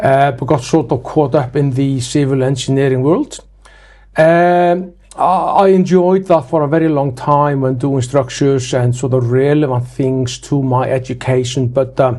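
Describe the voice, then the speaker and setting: In an Icelandic accent, a fairly high-pitched man speaks at a moderate pace with a dark, mellow tone and fairly even intonation. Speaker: building inspector, franchise owner. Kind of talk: interview. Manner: hesitant, many fillers.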